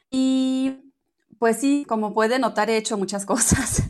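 A woman speaking at a very slow pace, with ordinary pitch variation. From Germany. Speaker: entrepreneur of natural personal care products. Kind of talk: interview. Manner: halting.

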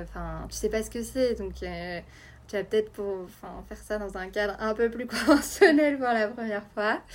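Her loudness swinging widely, a woman speaks at a moderate pace. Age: 20s. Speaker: journalist and mother sharing birth story. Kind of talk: testimony.

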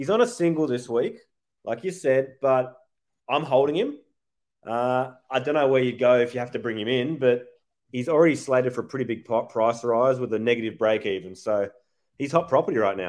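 At a fairly quick pace, a man with an Australian accent speaks in a medium pitch with ordinary pitch variation. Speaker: podcast host. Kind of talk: casual chat.

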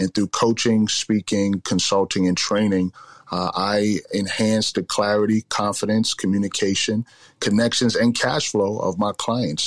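A man with a New York accent talks at a moderate pace in a fairly low pitch. The recording is very clean, with a silent background. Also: dry, close sound with no echo. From Bronx, New York. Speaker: business coach. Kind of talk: interview.

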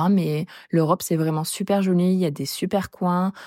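Dark and mellow, a woman's voice sits at a fairly low pitch. She speaks at a moderate pace with fairly even intonation. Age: 20s. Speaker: traveler sharing experience. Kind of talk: casual chat.

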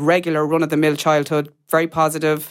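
With a Kerry accent, a woman speaks at a very deep, low pitch in a very clean recording with a silent background. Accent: Kerry Irish. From Ireland, mid-Kerry. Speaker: adopted person sharing her story. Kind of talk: interview testimony. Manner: halting, many fillers.

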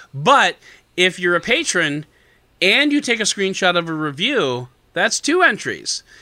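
A man's high, bright, sharp voice is raised and projected, moving at a fairly slow pace with very wide pitch swings and very even loudness in a very clean recording with a silent background. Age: 40s. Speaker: podcast host. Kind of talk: casual chat.

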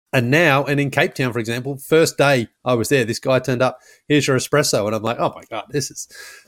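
A man with an Australian accent talks at a very fast pace with fairly even intonation. The recording is very clean, with a silent background. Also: medium pitch for a man. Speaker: former basketball podcast host, traveler. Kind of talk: casual interview.

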